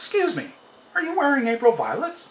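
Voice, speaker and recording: A woman puts on a character voice with a high pitch. She speaks at a fairly quick pace with lively intonation. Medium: read story. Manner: shy, apologetic.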